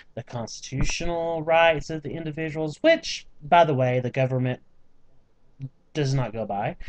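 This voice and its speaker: A man talks in a Southern US accent. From US South, small-town Georgia. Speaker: vlogger. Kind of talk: casual vlog rant. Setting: home, on computer webcam. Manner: animated.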